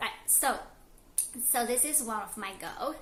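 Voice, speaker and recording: A non-native accent with audible room echo and noticeable background noise. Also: woman. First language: not English. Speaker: lifestyle vlogger. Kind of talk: casual vlog monologue. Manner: halting, many fillers.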